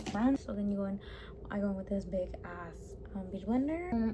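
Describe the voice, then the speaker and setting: Behind a woman talking at a moderate pace, noticeable background noise can be heard. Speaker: beauty vlogger. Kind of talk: tutorial.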